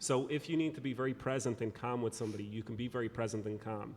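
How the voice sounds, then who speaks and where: With an Irish accent, a man speaks at a very fast pace in fairly even intonation. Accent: Irish, engaging lilt. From Ireland. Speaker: speaker and consultant on productivity. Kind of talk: interview.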